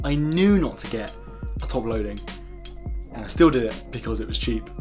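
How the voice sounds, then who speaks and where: Clear music plays behind the speaker. He is a man talking very fast. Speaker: travel vlogger. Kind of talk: tutorial. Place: home room.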